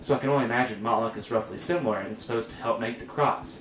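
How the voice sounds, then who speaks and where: Amid noticeable background noise and audible room echo, a man talks at a very fast pace with a medium pitch and ordinary pitch variation. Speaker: church youth podcast host. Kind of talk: casual chat. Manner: halting.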